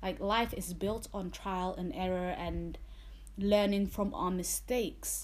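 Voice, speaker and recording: A woman speaks at a fairly slow pace with a London accent. Room echo is audible. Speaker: podcast host, nursing student. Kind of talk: solo podcast monologue. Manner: casual, chatty.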